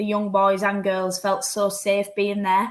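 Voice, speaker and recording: A woman with a Yorkshire accent, medium in pitch, at a very slow pace. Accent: Yorkshire, noticeable. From Yorkshire, northern England. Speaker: professional footballer. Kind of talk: interview.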